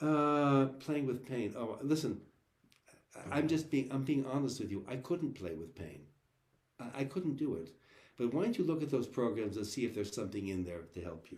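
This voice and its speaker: A man at a medium pitch with vocal fry, lively intonation and a moderate pace. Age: 70s. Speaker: cellist and cello teacher. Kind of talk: live online Q&A chat. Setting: video call. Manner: halting, many repeated words.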